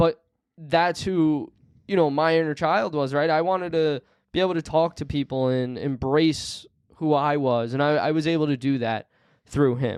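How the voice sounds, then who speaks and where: Fairly high-pitched male voice, moderate pace and ordinary pitch variation, quiet background. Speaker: podcast host. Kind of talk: casual chat. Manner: loud.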